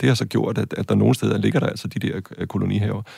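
The speaker is a man. Clear background noise can be heard throughout. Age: 40s. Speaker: university lecturer and film director. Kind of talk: interview. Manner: halting, many filler sounds.

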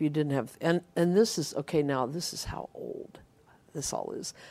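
This woman's pitch moves in a normal way. Her words come at an average speed. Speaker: radio DJ. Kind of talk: casual interview, storytelling. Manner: animated.

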